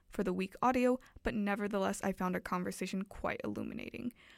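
Recorded very cleanly against a silent background with a dry, close sound and no echo, a woman speaks in a normal speaking voice at a fairly quick pace with ordinary pitch variation. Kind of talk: radio DJ patter, cheeky campus-radio show intro. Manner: playful, chatty, tongue-in-cheek.

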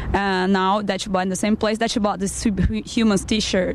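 With noticeable background noise behind her, a woman speaks in a Brazilian accent. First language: Portuguese. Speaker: band member, musician.

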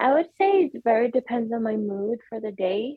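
A woman speaks with a Swedish accent at a moderate pace. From Sweden. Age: 20s. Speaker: para-rower and kinesiology student. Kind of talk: interview. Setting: video call.

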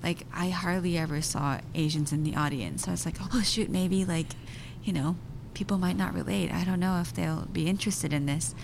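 A woman's very deep, low voice in a Japanese accent, with vocal fry, lively intonation, very even loudness, a moderate pace and audible room echo. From Japan (Tokyo), also raised in US and Belgium. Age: 30s. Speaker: actor and filmmaker. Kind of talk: interview.

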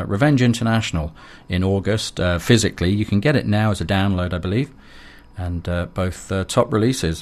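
A man talks in an ordinary speaking voice at a fairly low pitch. His pitch varies in an ordinary way against a quiet background. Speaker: radio host. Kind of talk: radio dj patter, live electronic music show. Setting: radio studio broadcast. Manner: relaxed, chatty, friendly, with frequent filler 'uh'.

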